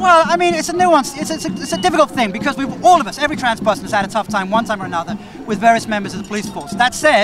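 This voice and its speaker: The speech runs very fast in a dry sound with no echo, with clear music in the background. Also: man. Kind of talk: interview answer. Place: street. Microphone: handheld.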